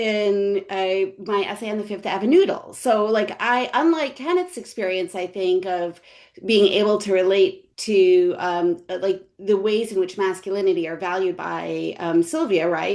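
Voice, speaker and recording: With a New York accent, a woman talks with hardly any pauses and ordinary pitch variation. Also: medium pitch for a woman, moderate pace. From New York City, Brooklyn. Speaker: history professor. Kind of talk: panel discussion. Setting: webinar video call. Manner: halting, many fillers.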